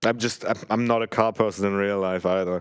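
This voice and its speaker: A man's fairly quick, fairly evenly intoned voice, fairly low in pitch, with a non-native accent. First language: not English. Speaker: speedrunner. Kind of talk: live commentary while playing. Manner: casual, hesitant with fillers.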